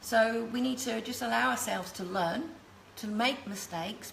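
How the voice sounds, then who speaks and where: A woman with an English accent speaks at a fairly high pitch with lively intonation. Noticeable background noise and audible room echo are present. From England, London. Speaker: cake decorating teacher. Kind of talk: live tutorial.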